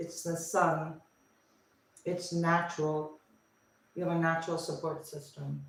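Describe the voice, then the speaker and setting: Heard over noticeable background noise, a woman with an American accent speaks at a fairly low pitch. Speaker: tarot reader. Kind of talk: live tarot reading. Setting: livestream. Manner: casual, thinking aloud with fillers.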